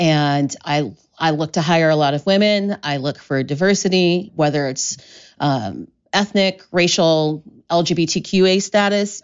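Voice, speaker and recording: A woman talks at a fairly slow pace in an unremarkable speaking voice. Her pitch is fairly low, with ordinary pitch variation. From US Midwest, Columbus, Ohio. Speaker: mixologist and spirits educator. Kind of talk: casual chat.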